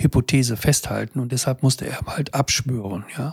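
A man's medium-pitched, somewhat breathy voice with a dark, mellow tone, fairly quick pace and fairly even intonation, dry and close with no echo. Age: 70s. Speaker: physician and health podcaster. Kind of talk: solo monologue to camera. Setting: in front of a camera.

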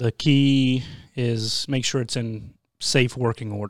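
On a very clean recording with a silent background, a man with a normal speaking voice talks at a medium pitch with fairly even intonation. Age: 40s. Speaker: youth mountain biking team director. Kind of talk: casual interview.

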